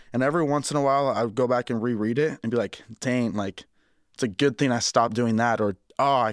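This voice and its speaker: At a very fast pace, a man with an American accent talks at medium pitch with fairly even intonation, in a very clean recording with a silent background and a dry, close sound with no echo. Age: 20s. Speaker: personal trainer. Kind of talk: casual chat. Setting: studio. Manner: sometimes loud.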